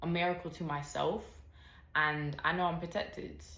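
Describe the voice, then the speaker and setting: With an American accent, a woman talks amid audible room echo. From United States. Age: 20s. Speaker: podcast host. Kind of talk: personal testimony. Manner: bubbly.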